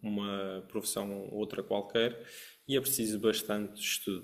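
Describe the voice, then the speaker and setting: A man is speaking. He has a Madeiran accent. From Madeira, Portugal. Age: 30s. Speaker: trading educator, academy founder. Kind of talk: webinar presentation.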